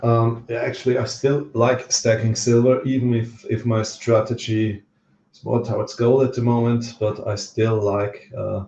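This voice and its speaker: A man with an Austrian accent speaks at a moderate pace and medium pitch, his tone dark, mellow and somewhat breathy. His intonation is flat and monotone, yet his loudness swings widely. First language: German. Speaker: livestream host, precious metals stacker. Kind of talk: casual livestream chat. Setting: livestream from home on camera. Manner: hesitant, many fillers.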